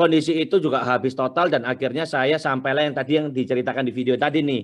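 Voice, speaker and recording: A man with a strong Surabaya accent and fairly high pitch, talking at a very fast pace against a quiet background. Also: fairly even intonation. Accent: thick Surabaya Javanese accent (medok). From Surabaya, East Java, Indonesia. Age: young. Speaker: entrepreneur, business founder. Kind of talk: webinar talk, personal life story.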